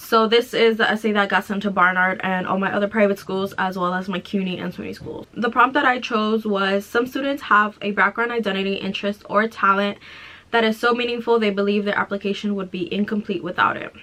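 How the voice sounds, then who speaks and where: With an American accent, a woman at a medium pitch talks at a fairly quick pace with fairly even intonation and hardly any pauses. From Mexico, raised in US from age three. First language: Spanish. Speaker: college student YouTuber. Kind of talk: reading aloud; casual vlog chat.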